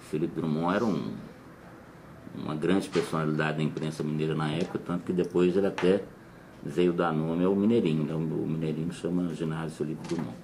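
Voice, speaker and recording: Speaking at a fairly quick pace, a man with a very deep, low voice keeps his intonation fairly even while audible room echo surrounds him. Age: 50s. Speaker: former TV art editor. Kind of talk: interview reminiscence. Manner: halting, with self-corrections.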